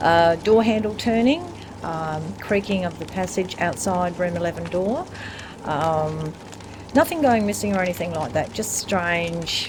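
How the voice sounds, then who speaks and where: Over noticeable background noise, a woman talks at a fairly slow pace and a fairly low pitch with ordinary pitch variation. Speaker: hotel publican. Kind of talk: interview answer.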